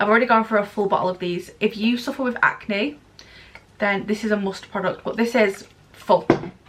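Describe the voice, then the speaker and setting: A woman talks at a moderate pace with a fairly high pitch. Noticeable background noise runs behind her. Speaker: beauty vlogger. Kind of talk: product review vlog. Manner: animated.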